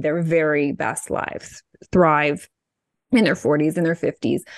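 Over a quiet background, a woman talks at a moderate pace in a normal speaking voice, her pitch fairly low and the sound dry and close with no echo. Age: 40s. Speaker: podcast host and fitness publisher. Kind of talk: interview.

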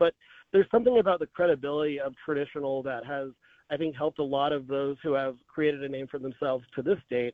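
Very fast speech from a man with a fairly high pitch. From North Texas. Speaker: media industry analyst. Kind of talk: interview.

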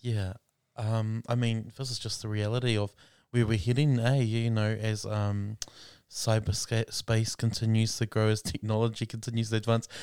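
On a very clean recording with a silent background, a man speaks at a medium pitch and moderate pace in a monotone, flat delivery. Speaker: podcast host, minister. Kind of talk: casual chat.

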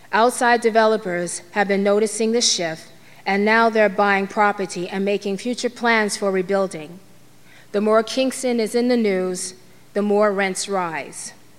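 This is a plain, everyday voice, speaking at a fairly slow pace with fairly even intonation. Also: woman, medium pitch for a woman. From Harlem, New York City. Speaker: storyteller. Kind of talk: storytelling monologue. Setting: stage with audience.

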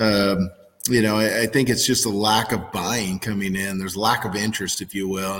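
A man talks at a moderate speed, with noticeable background noise in the recording. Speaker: agricultural market analyst. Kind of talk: casual interview.

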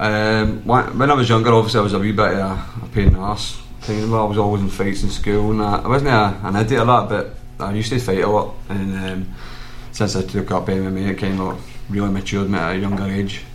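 Music plays in the background as a man talks at a fairly quick pace. His voice sits fairly low, with fairly even intonation. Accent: Lanarkshire. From Lanarkshire, Scotland. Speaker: mixed martial arts fighter. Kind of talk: casual chat.

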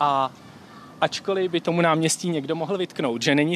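In a normal speaking voice, a man talks at a moderate pace with fairly high pitch and ordinary pitch variation, the sound dry and close with no echo. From Czech Republic, Příbram. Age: 20s. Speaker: medical student. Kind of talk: casual chat.

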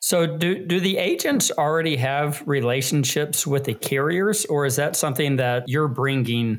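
A man with a plain, everyday voice speaks at a fairly high pitch and a moderate pace, with ordinary pitch variation. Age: 40s. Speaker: podcast co-host. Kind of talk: casual chat.

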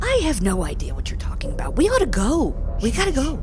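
A put-on character voice races at a very fast pace over loud background noise. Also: woman. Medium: actual play. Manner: curt, evasive.

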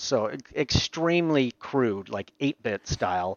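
A man talks at a very slow pace with a Canadian accent. His voice sits fairly high in pitch. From Canada, Ontario (Aurora, north of Toronto). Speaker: VFX supervisor and filmmaker. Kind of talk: interview conversation.

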